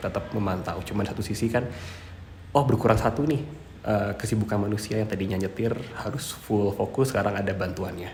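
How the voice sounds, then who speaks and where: A man's fairly low voice at a very fast pace, ordinary pitch variation, audible room echo, and noticeable background noise. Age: 20s. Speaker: electrical engineering lecturer. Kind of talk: interview. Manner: hesitant with many fillers.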